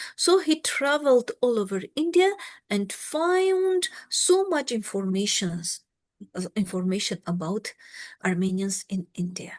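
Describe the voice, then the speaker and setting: Over a quiet background, a woman with a fairly high, somewhat breathy voice makes very wide pitch swings at a fairly slow pace, the sound dry and close with no echo. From Armenia. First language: Armenian. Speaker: historian. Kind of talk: lecture. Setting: video call.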